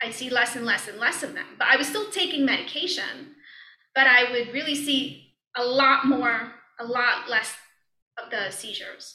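A woman with an American accent and a high pitch, her raised, projected voice at a moderate pace, with ordinary pitch variation, big swings in loudness and audible room echo. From Brooklyn, New York. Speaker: yoga and meditation teacher. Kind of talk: casual interview. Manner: halting, many fillers and restarts.

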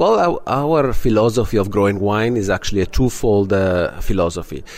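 There is noticeable background noise as a man speaks at a moderate pace, fairly low in pitch with ordinary pitch variation. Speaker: winery owner. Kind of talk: interview.

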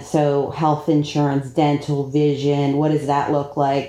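Slowish in pace, a woman with an American accent speaks at a very deep, low pitch in a dark, mellow tone. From South Florida. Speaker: payroll and HR executive. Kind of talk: interview.

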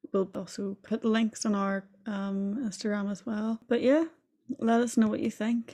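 With a Northern Irish accent, a woman speaks fairly slowly in a fairly high pitch, her tone dark, mellow and somewhat breathy, her intonation fairly even. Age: 20s. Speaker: podcast co-host, student. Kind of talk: casual chat.

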